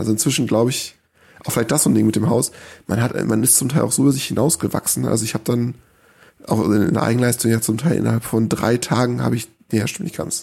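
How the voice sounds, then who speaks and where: A man's medium-pitched voice, dark and mellow with vocal fry, at a very fast pace with ordinary pitch variation, on a very clean recording with a silent background. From northern Germany, small village. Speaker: homeowner who built a house. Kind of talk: casual interview. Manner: hesitant, filler-heavy.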